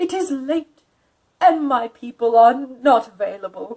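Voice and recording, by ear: In a put-on character voice, a woman speaks high in pitch with a dark, mellow tone. Her intonation is lively and her pace fairly slow.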